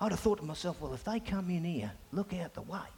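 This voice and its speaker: A man is speaking here. Noticeable background noise runs underneath. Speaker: pastor. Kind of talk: sermon. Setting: church. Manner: loud.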